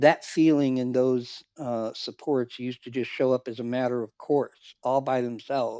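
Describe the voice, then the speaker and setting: A man's dark, mellow tone in monotone, flat intonation at a moderate pace, with a very clean recording, silent background, and dry, close sound with no echo. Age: 60s. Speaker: cuddle therapy client and volunteer. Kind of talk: podcast interview. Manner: halting.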